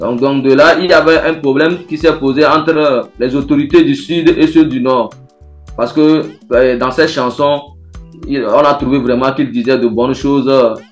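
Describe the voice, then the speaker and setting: Over background music, a man talks in a fairly high voice with fairly even intonation. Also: moderate pace. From Togo. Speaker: griot musician. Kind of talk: interview answer.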